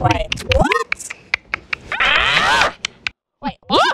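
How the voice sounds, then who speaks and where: This is a put-on character voice. It comes out squeaky. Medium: machinima. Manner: playful, hammy.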